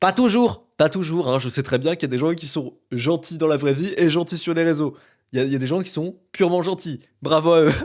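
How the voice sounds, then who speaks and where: In a normal speaking voice, a man with a fairly high pitch talks at a fairly quick pace with ordinary pitch variation on a very clean recording with a silent background. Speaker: podcaster and YouTuber. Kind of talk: solo podcast monologue. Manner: casual, filler-heavy.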